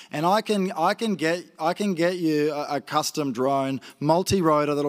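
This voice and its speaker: Against a quiet background, a man speaks with a rural Queensland accent. His voice is fairly high, with ordinary pitch variation. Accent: Australian, rural Queensland. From northwest Queensland, Australia. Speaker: grazier and agtech entrepreneur; conference presenter. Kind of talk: conference presentation. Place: stage. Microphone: handheld.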